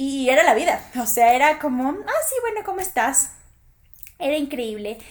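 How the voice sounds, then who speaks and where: A woman's high-pitched voice at a moderate pace, with very wide swings in pitch. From Ecuador. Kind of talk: personal monologue. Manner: animated.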